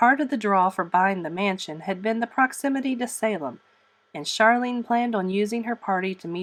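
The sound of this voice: An unforced reading voice with ordinary pitch variation carries the lines.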